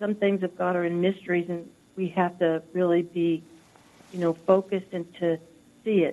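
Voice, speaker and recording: In an American accent, a woman speaks at a moderate pace with a medium pitch, a dark, mellow tone and monotone, flat intonation. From US South. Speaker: caller. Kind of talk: call-in comment. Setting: phone call.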